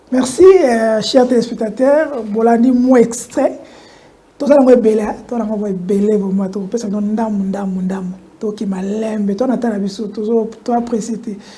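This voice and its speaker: A woman with a fairly high voice speaks at a moderate pace and ordinary pitch variation. Noticeable background noise and audible room echo surround her. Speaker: TV talk show host. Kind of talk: political talk show.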